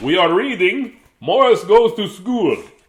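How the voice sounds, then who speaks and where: Putting on a character voice, a man drawls at a fairly slow pace with an extremely high pitch. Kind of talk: storybook reading. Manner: spooky vampire drawl.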